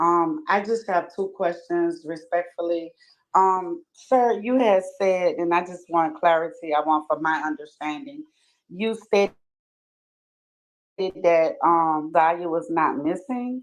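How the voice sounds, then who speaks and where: A woman with a Louisiana accent speaks at a very slow pace, her fairly low voice showing ordinary pitch variation. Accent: Louisiana Southern US. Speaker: caller on livestream. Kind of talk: questioning in live discussion. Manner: formal, polite.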